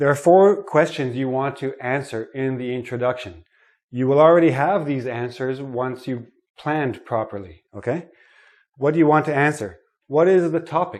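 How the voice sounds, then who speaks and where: Against a quiet background, a man speaks in a fairly high pitch at a moderate pace with ordinary pitch variation. He has a normal speaking voice. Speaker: English teacher. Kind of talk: lesson.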